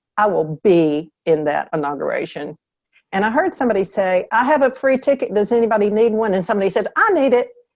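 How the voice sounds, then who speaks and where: In a Southern US accent, a woman talks at a very fast pace. Her fairly high pitch moves in very wide swings. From US South. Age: 70s. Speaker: author. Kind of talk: interview.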